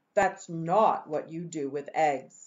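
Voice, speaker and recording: A woman performs a put-on character voice. It sits fairly low in pitch. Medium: read story. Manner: scolding, exasperated.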